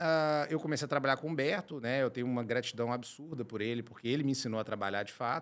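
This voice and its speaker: A man talking very fast, with lively intonation. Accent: Minas Gerais. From Brazil, Minas Gerais (Belo Horizonte). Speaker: chemical engineer and company director. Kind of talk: podcast interview.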